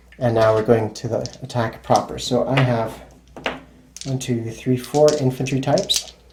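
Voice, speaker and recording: Noticeable background noise runs beneath talking at a moderate pace. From Czech Republic. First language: Czech. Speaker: board game channel host. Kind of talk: tutorial. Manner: casual, conversational.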